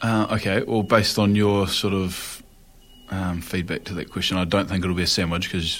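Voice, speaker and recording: The speaker has a New Zealand accent and a flat, monotone intonation. The pace is moderate. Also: man. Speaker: professional rugby player. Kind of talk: casual chat.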